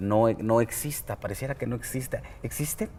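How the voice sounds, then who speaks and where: A man with a dark, mellow tone talks at a medium pitch and a fairly quick pace, with ordinary pitch variation. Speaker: TV interviewer. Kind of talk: interview.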